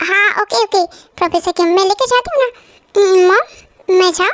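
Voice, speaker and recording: A woman's put-on character voice, squeaky and extremely high in pitch, in a dry, close sound with no echo. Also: moderate pace. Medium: audio drama. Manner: bubbly, chatty.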